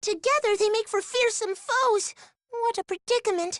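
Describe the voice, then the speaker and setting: This put-on character voice is squeaky and extremely high, delivered at a moderate pace. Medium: video game. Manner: stammering under stress.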